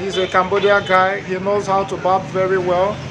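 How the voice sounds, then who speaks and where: At a moderate pace, a man with a high voice talks over noticeable background noise. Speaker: travel vlogger. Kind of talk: casual vlog chat. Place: street. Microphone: phone near.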